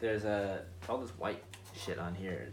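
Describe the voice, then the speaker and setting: In a room with audible echo, a man speaks at a moderate pace in a very deep, low voice that is somewhat breathy, his intonation fairly even. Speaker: shoemaking video maker. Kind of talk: casual tutorial. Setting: garage workshop. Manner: rambling, casual. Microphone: voice muffled by dust mask.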